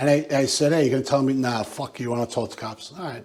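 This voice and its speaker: A man's fairly high voice with ordinary pitch variation, with an American accent. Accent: working-class Yonkers, drops R's. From Yonkers, New York. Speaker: retired police detective. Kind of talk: casual chat. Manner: animated.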